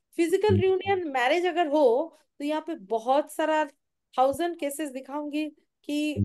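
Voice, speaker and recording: Over a quiet background, a woman speaks at a high pitch. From India. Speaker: tarot reader. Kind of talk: live stream guidance and meditation. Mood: calm, soft, eyes closed. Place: home room. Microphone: phone near.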